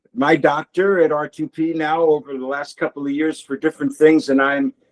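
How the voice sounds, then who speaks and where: Fairly high-pitched man at a moderate pace with ordinary pitch variation, in a dry, close sound with no echo. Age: 60s. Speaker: workshop participant, clinic patient. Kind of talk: question in online workshop. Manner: halting.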